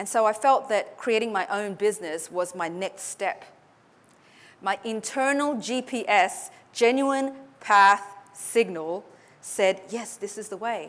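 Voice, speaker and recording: At a fairly slow pace, a woman with an Australian accent speaks with ordinary pitch variation. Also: fairly high pitch for a woman. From Australia (Sydney), born in Hong Kong. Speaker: public speaking coach. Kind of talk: motivational talk.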